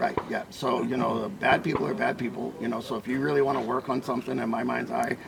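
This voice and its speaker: Hardly pausing at all, a man rushes along at a very fast pace while noticeable background noise runs underneath. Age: 70s. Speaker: weapons instructor. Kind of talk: interview. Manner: casual, filler-heavy.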